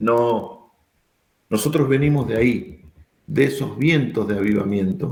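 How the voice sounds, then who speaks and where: In a room with audible echo, a man speaks at a fairly slow pace with vocal fry, lively intonation and long, frequent pauses. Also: medium pitch for a man. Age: 60s. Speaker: pastor. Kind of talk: sermon. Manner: emphatic.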